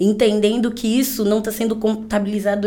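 Amid audible room echo, a woman with a dark, mellow tone and a fairly high pitch speaks at a moderate pace in a monotone, flat way. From São Paulo, Brazil. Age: 20s. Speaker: fashion entrepreneur. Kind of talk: casual interview.

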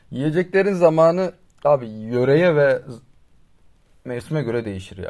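With lively intonation and big swings in loudness, a man speaks at a fairly high pitch. His pace is moderate, broken by long, frequent pauses. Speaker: podcast co-host. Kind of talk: casual chat. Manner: louder than usual.

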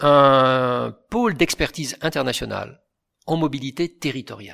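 Against a silent background in a very clean recording, a man speaks very slowly. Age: 60s. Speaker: retired engineer, mobility expert. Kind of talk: interview.

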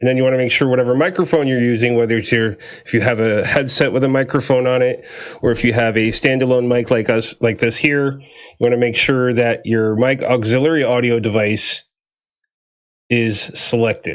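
A man talks at a moderate pace in a medium pitch, keeping his loudness very even and his intonation fairly even. It is an unremarkable speaking voice. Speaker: streaming show host. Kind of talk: live streamed tutorial talk. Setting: live stream.

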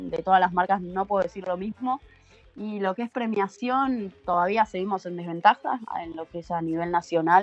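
Music plays in the background. The voice moves at a moderate pace with ordinary pitch variation and big swings in loudness. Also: woman, medium pitch for a woman. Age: 30s. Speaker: professional surfer. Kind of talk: casual interview.

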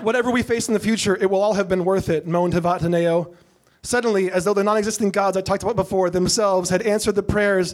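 An unforced reading voice carries this recording.

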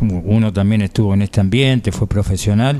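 Over noticeable background noise, a man talks at a moderate pace in a fairly low voice with ordinary pitch variation. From Buenos Aires province, Argentina. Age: 50s. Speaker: radio sports host. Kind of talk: radio interview.

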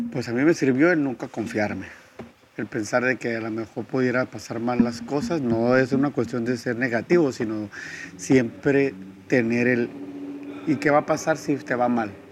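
A man with a medium pitch and ordinary pitch variation talks at a moderate speed amid noticeable background noise. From Tijuana, Baja California, Mexico. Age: 30s. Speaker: strength and conditioning coach, gym owner. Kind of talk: interview.

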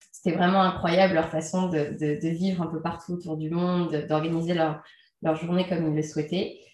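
A woman with a fairly low pitch speaks at a moderate pace in a monotone, flat intonation, with audible room echo. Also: long, frequent pauses. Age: 30s. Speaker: entrepreneur and freelance trainer. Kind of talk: interview. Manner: hesitant, many fillers.

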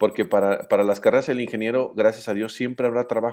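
Flat and monotone, a man's medium-pitched voice races along at a very fast pace. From Mexico, Aguascalientes. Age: 40s. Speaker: engineering professor. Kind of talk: talk to students with Q&A.

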